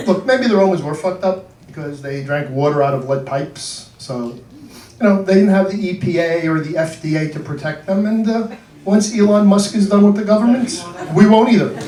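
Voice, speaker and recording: Over noticeable background noise and audible room echo, the voice moves at a fairly quick pace. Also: man, high pitch for a man, lively intonation. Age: 60s. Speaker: comedian. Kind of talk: stand-up. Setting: stage with audience.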